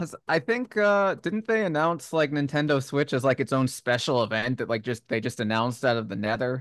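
Using a plain, everyday voice at medium pitch, a man talks with lively intonation and hardly any pauses, in a dry, close sound with no echo over a quiet background. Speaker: podcast host. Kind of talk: casual chat.

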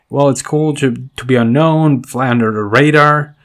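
On a very clean recording with a silent background, a man talks at a fairly slow pace with fairly even intonation. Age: 20s. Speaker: podcast host and entrepreneur. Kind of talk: solo personal update podcast. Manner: halting, many fillers and repetitions.

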